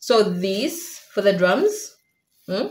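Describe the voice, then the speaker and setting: Somewhat breathy, a woman's voice carries a playful tone. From Uganda. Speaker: cooking vlogger. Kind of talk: casual vlog tutorial. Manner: playful, chatty.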